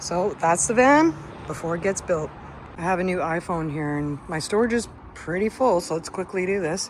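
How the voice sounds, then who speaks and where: Over noticeable background noise, a woman with a Canadian accent speaks at a moderate pace in an animated tone, her fairly low pitch showing ordinary variation. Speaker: van lifer vlogger. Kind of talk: casual vlog.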